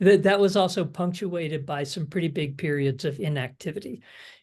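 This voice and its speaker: Against a quiet background, a man with a high voice speaks at a moderate pace with ordinary pitch variation. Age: 60s. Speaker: online fitness coaching client. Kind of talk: interview. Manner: halting, many fillers.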